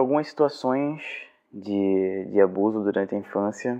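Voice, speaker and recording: A man talks at a fairly slow pace. His voice is fairly low, with ordinary pitch variation. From Brazil, Cabo de Santo Agostinho, Pernambuco. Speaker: journalist and professor. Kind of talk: testimony.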